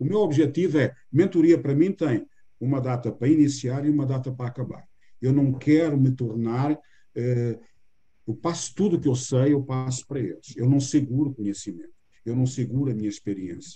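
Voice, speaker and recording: Somewhat breathy, a man talks at a moderate pace in a medium pitch, with a dark, mellow tone and ordinary pitch variation. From Portugal. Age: 60s. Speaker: business mentor. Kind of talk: interview.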